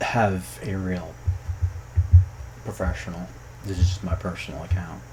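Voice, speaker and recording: A man with a fairly low pitch at a fairly slow pace, with audible room echo. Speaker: youtuber and programmer commenting on game localization. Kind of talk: casual commentary vlog.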